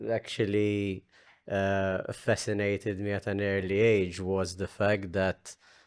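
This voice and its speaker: The speaker talks at a very slow pace in a Maltese accent, with a quiet background. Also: man. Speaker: podcast host. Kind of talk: casual chat.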